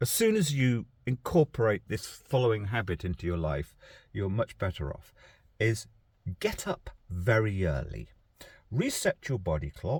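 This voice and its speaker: Recorded very cleanly against a silent background with dry, close sound and no echo, a man at medium pitch speaks at a moderate pace with vocal fry and very wide pitch swings. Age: 60s. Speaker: vlogger. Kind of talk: casual vlog talk. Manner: hesitant, with fillers and repetitions.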